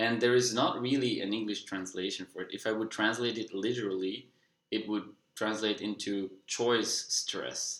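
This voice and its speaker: A man's fairly low-pitched voice with monotone, flat intonation. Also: moderate pace. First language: Dutch. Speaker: personal development vlogger. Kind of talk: casual monologue.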